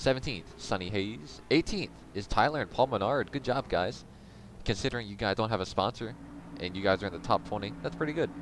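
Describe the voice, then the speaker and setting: This man speaks with vocal fry. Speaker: sim racing league streamer and commentator. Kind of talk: live commentary. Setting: live stream. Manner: casual and conversational. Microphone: mic quality said to be good and crisp.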